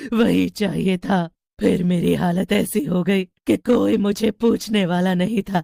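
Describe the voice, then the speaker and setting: A raspy, put-on character voice at a middle pitch moves along at a fairly slow pace. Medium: read story. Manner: stammering.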